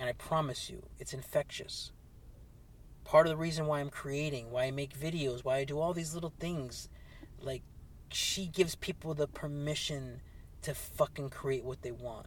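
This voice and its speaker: A man with a fairly high pitch talks at a moderate pace, sounding somewhat breathy. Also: fairly even intonation. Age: 40s. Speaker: podcast host and clothing business owner. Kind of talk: solo podcast monologue. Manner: halting.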